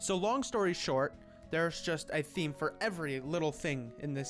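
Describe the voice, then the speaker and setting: Music plays in the background as a man talks. His pitch is fairly high and his intonation lively. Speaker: gaming video essayist. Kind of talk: video essay narration.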